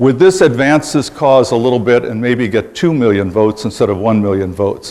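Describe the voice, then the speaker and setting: The pace is fairly quick. Otherwise it is an unremarkable speaking voice. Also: man, medium pitch for a man. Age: 60s. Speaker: political candidate. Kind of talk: campaign speech.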